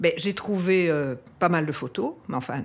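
A woman's voice with lively intonation. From Belgium, Brussels. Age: 60s. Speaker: descendant of a historical figure. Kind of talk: interview testimony. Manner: halting, many hesitations.

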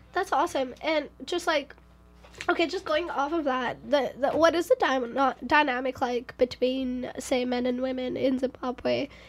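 Her voice is high-pitched, with ordinary pitch variation. This woman speaks in an animated tone at a moderate pace. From India. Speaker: student radio host. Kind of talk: radio interview.

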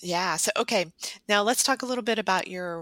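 A woman speaks with vocal fry and ordinary pitch variation. The recording is very clean, with a silent background. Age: 50s. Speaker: podcast host, holistic psychologist. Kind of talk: promotional intro; podcast interview.

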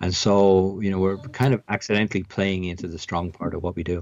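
With an Irish accent, a man talks at a fairly quick pace in a very deep, low voice. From Ireland, near Dublin. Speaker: tech company CEO. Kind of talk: interview. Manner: hesitant, many fillers and repetitions.

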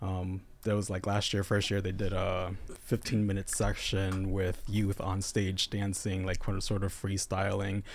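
Mumbling in a monotone, flat intonation, a man with a fairly low pitch speaks at a fairly slow pace. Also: very clean recording, silent background. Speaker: local pride festival organizer. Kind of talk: casual chat. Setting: studio.

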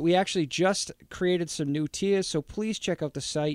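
On a very clean recording with a silent background, a man talks in a high pitch. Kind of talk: casual banter podcast. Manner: profane, joking, animated.

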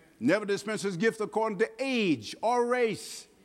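High-pitched male speech at a moderate pace, with ordinary pitch variation. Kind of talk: sermon. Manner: plain-spoken, humorous asides, pauses and fillers.

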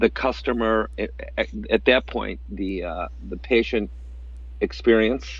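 The voice carries vocal fry and very wide pitch swings. The background is quiet. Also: man. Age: 50s. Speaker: entrepreneur, restaurant co-founder. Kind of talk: interview.

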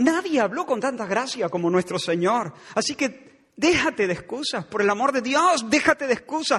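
The delivery has a dramatic tone and lively intonation at a moderate pace. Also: man. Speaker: pastor. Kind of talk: sermon, fiery expository preaching with direct accusatory address. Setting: church. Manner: dramatic, sometimes conversational and wry.

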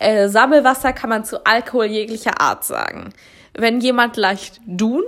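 A woman with a fairly high voice and normal pitch movement is captured in a very clean recording against a silent background. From Baden-Württemberg, Germany. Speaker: podcast co-host. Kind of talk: casual chat.

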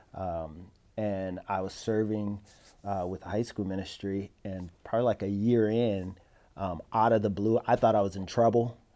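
A dark, mellow tone with an American accent and fairly even intonation, on a very clean recording with a silent background. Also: man, fairly low pitch for a man, moderate pace. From Detroit, Michigan. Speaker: pastor. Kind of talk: interview. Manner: hesitant, many fillers.

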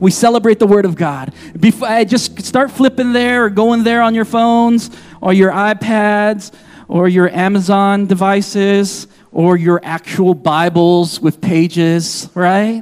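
The speech moves at a fairly slow pace with ordinary pitch variation and very even loudness. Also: man, high pitch for a man. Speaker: pastor. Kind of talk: sermon. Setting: church. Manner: animated.

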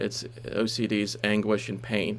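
Vocal fry runs through a man's voice. His pitch is fairly low. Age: 30s. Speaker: writer and street pastor. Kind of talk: interview about his book. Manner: halting, many fillers and repetitions.

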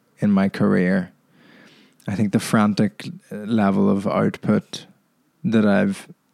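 A man speaks with an Irish accent. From Ireland. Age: 20s. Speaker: podcast host and stand-up comedian. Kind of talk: solo podcast monologue. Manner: casual, hesitant with many fillers.

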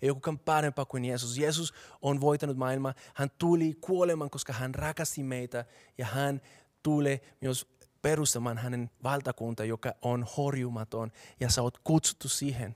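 A man speaks at a medium pitch in a Colombian accent, his intonation fairly even. The recording is very clean with a silent background and a dry, close sound with no echo. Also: moderate pace. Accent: Colombian Spanish accent in Finnish. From Colombia, Bogotá. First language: Spanish (speaking Finnish). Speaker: pastor. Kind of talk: sermon.

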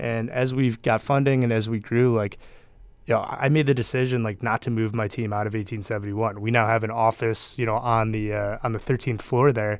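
The man's delivery comes at a fairly quick pace in a monotone, flat intonation. He has an American accent and a medium pitch. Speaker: startup founder and CEO. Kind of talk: casual interview.

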